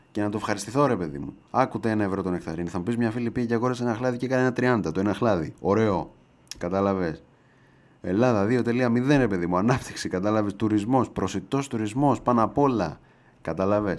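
A man's fairly low voice, animated in tone, with ordinary pitch variation. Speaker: podcast host. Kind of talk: casual monologue.

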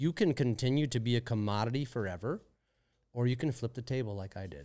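On a very clean recording with a silent background, a man with an American accent uses an unremarkable speaking voice at medium pitch, ordinary pitch variation and a fairly quick pace. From US Midwest, St. Louis. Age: 40s. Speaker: social media marketer. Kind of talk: casual interview. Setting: studio.

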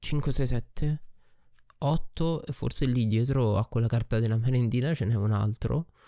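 A man's dark, mellow voice at medium pitch, fairly slow, with ordinary pitch variation, on a very clean recording with a silent background. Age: 20s. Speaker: podcaster and streamer. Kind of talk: personal monologue. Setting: recording alone at night at his desk. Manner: reflective.

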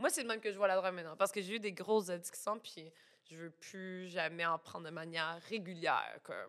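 Speaking fairly quickly at a medium pitch, a woman shows ordinary pitch variation and big swings in loudness. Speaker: illustrator and plush designer. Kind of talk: casual chat.

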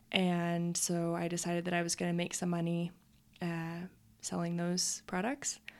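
A woman with an American accent speaks at a fairly low pitch in a monotone, flat delivery with very even loudness. The recording is very clean, with a silent background. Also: moderate pace. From Utah. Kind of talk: casual interview.

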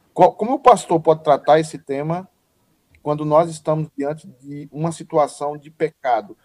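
A man's fairly high voice at a moderate pace, ordinary pitch variation, big swings in loudness, and a dry, close sound with no echo. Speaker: pastor and online show host. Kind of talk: casual chat. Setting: video call. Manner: animated.

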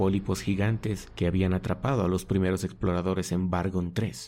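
A man with a very deep, low pitch and a dark, mellow tone speaks at a moderate pace in a dramatic tone, with vocal fry. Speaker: audio story narrator. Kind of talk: scripted dramatic narration of a science fiction horror story, read aloud. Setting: studio recording meant for headphones. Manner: formal, measured storytelling cadence with dramatic pauses.

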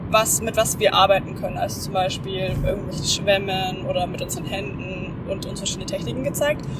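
A woman's medium-pitched voice at a moderate pace, with noticeable background noise and audible room echo. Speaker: podcast host. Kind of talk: casual chat. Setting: in a car on the motorway. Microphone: microphone mistake, poor audio quality.

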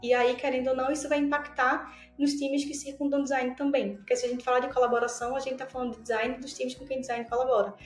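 A woman with a high pitch rushes at a very fast pace with hardly any pauses, her intonation monotone and flat, her loudness swinging widely, and audible room echo around her. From Brazil, Pernambuco. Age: 20s. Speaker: design operations specialist. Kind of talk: interview.

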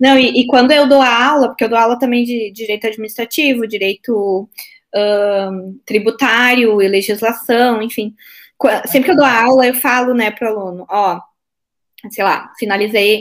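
A woman's fairly high voice with a strong Porto Alegre accent. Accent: strong Porto Alegre (gaúcho). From southern Brazil, Porto Alegre. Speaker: court officer and exam-prep teacher. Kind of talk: casual interview chat.

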